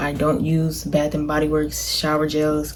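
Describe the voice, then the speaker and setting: A woman speaks in a soft-spoken way. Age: young. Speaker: college student vlogger. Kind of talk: casual chat. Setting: dorm room.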